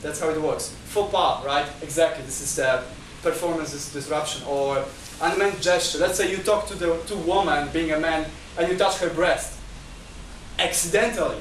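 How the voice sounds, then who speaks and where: At a moderate pace, a man with a high pitch speaks in fairly even intonation, with audible room echo and noticeable background noise. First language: not Chinese. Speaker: lecturer. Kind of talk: lecture. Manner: halting.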